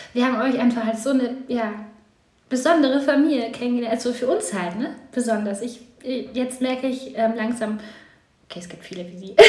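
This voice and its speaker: A woman's high-pitched voice at a fairly quick pace, with ordinary pitch variation, big swings in loudness, long, frequent pauses and audible room echo. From eastern Germany, then moved west. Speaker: podcast guest, mother. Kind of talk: casual chat.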